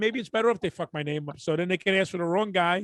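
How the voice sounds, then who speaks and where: In a Brooklyn accent, a man talks very fast with lively intonation, the sound dry and close with no echo. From Brooklyn, New York. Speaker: podcast co-host, comedian. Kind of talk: casual chat. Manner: animated.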